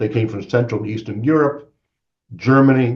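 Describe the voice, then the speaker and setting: A man speaks with an American accent and lively intonation. His voice is somewhat breathy. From Maine, US (Bangor). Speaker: guest speaker on religion. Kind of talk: lecture.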